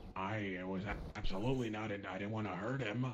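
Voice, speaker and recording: Putting on a raspy character voice, a man talks fairly quickly and fairly low with fairly even intonation over clear background noise. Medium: game stream. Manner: blunt, crude, dismissive.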